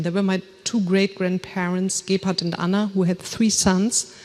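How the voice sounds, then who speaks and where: There is noticeable background noise as a woman with a German accent speaks at a medium pitch. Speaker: author and family historian. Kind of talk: lecture read from script. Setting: lecture hall with audience and screens.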